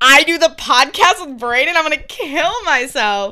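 Raised and projected, a woman's voice swings very widely in pitch with a bright, sharp tone. She speaks with an American accent. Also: very clean recording, silent background. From US, rural country town. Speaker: podcast co-host. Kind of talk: casual chat.

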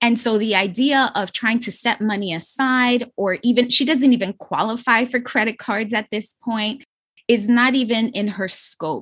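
This is a woman with an ordinary speaking voice and a fairly high pitch. She talks at a moderate pace with fairly even intonation over a quiet background. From New York City, the Bronx. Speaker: financial coach. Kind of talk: casual chat.

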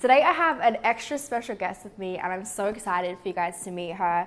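The speaker has an Australian accent. The delivery comes at a very fast pace. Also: woman. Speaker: podcast host. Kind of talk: casual interview chat. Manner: upbeat, bubbly, laughing.

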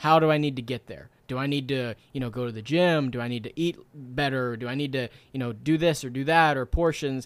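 A man speaks in an unremarkable speaking voice at a fairly quick pace with fairly even intonation. The recording is very clean with a silent background. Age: 20s. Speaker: author and entrepreneur. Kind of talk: interview.

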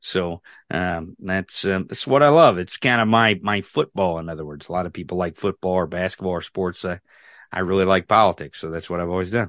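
Speaking with an American accent, a man has a very deep, low pitch and ordinary pitch variation, recorded dry and close with no echo against a quiet background. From rural Missouri, US. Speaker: political podcaster. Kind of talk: casual chat. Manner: animated.

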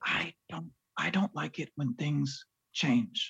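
This is a put-on character voice. The pitch sits low to middle. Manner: shouting, loud.

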